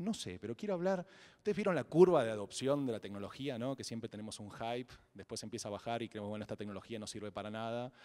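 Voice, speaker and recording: A man with an Argentine accent, medium in pitch, dark and mellow in tone, with lively intonation at a very fast pace. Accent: Argentine Spanish (Rioplatense). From Argentina. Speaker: blockchain entrepreneur, conference speaker. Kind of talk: fireside chat on stage. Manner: hesitant, many repetitions and fillers.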